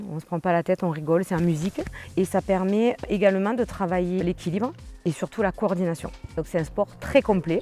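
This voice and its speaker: A woman speaks at a moderate pace. There is music in the background. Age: 40s. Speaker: fitness instructor. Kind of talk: interview testimony. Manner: hesitant, frequent filler sounds.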